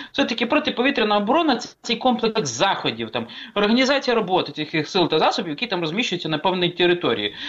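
With very wide pitch swings, a man talks at a very fast pace in a high register. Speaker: military analyst. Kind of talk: live radio interview.

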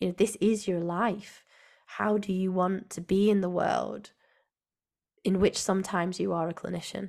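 Speaking with a northern English accent, a woman uses a medium pitch and monotone, flat intonation at a moderate pace, on a very clean recording with a silent background. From Northwest England. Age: 40s. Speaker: physiotherapist and clinical educator. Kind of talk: casual interview.

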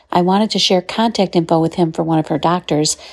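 On a very clean recording with a silent background, a woman with an ordinary speaking voice talks at a fairly low pitch with fairly even intonation. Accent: American. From Southeast Michigan, US. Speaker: listener contributor. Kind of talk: recorded tip.

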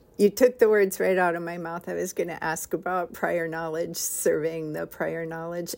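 A woman speaks at a moderate pace and a medium pitch in a normal speaking voice. The recording is very clean, with a silent background. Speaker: podcast host and academic center director. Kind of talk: interview, podcast conversation.

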